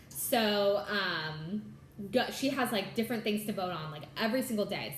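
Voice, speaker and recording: The speech moves at a moderate pace. Audible room echo and noticeable background noise come through. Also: woman. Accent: American. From California. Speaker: cross stitch vlogger and attorney. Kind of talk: casual chat. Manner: bubbly.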